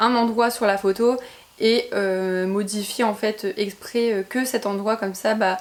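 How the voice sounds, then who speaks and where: Against noticeable background noise, a woman speaks in a fairly high voice with fairly even intonation. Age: 20s. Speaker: YouTuber. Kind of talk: casual talk to camera.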